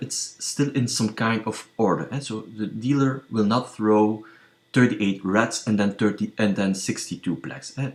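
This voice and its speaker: At a fairly slow pace, a man talks in a non-native accent. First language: not English. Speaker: statistics tutorial youtuber on gambling. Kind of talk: tutorial. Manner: hesitant, many fillers.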